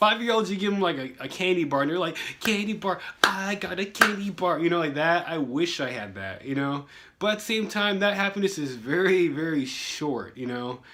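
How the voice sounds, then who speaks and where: Against noticeable background noise, a man talks fairly quickly in a high pitch, his intonation lively and his tone animated. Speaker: vlogger. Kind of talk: casual vlog monologue. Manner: fast.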